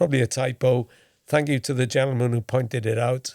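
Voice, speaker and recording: The sound is dry and close, without any echo. Delivery is at a moderate speed. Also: man. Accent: Welsh. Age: 60s. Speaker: former football correspondent, podcast host. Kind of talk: casual podcast chat.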